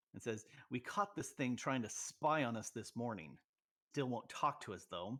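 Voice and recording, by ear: Reading aloud in a natural voice, with ordinary pitch variation and a quiet background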